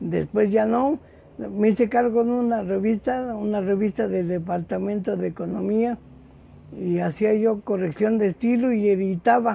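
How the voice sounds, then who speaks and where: A high-pitched male voice, dark and mellow in tone, with fairly even intonation. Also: fairly slow pace. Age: 60s. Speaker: copy editor and bookseller. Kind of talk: interview. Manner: halting, with repetitions and fillers.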